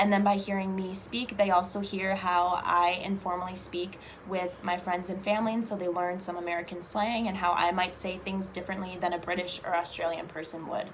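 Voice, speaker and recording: Talking at a fairly quick pace with hardly any pauses, a woman keeps a medium pitch and a monotone, flat intonation. The recording has audible room echo and noticeable background noise. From US Midwest, Chicago. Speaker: English teaching assistant. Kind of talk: interview monologue. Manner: fluent, frequent fillers.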